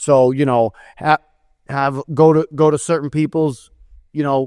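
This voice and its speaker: A man speaks at a fairly slow pace with an American accent. His voice sits fairly high and stays monotone, with flat intonation. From New England (Massachusetts). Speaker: construction event organizer, podcast co-host. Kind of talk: casual chat.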